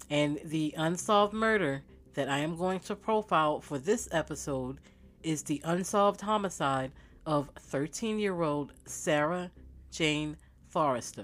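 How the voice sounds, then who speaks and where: On a very clean recording with a silent background, the words come at a fairly slow speed. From Baltimore, Maryland. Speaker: true crime podcast host and author. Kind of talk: true crime narration, casual. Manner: conversational with fillers.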